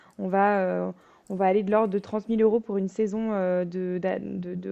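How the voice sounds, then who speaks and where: A woman talks at a fairly slow pace and a medium pitch. She has a plain, everyday voice with fairly even intonation. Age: 20s. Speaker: fencer and business speaker. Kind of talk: podcast interview.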